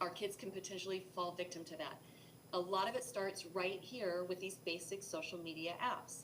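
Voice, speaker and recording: Room echo can be heard around this voice. It belongs to a woman. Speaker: cyber safety presenter. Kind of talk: educational presentation. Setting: live broadcast. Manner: fast.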